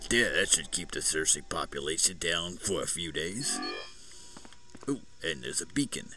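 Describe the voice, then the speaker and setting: Through loud background noise, a man puts on a gravelly character voice in a Brooklyn accent, speaking at a moderate pace with long, frequent pauses. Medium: game stream. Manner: gruff, jovial.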